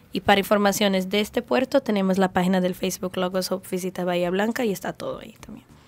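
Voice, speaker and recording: A woman with a Brazilian accent talks at a very fast pace with hardly any pauses, her intonation fairly even but her loudness swinging widely. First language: Portuguese (speaking Spanish). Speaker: ship crew member; guest. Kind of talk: radio interview. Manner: halting. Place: studio. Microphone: studio mic.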